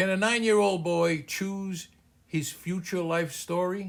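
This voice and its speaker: Speaking at a fairly slow pace, a man has a high pitch and an American accent. The recording is very clean, with a silent background. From US Northeast, Boston (Cambridge). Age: 80s+. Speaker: small business coach. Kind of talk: personal story narration.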